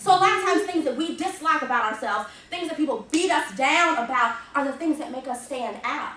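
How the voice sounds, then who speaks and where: Animated and raising her voice to project, a woman with a slight Southern accent speaks with ordinary pitch variation amid noticeable background noise and audible room echo. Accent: slight southern drawl. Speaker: motivational speaker, arts educator. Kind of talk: motivational talk to students.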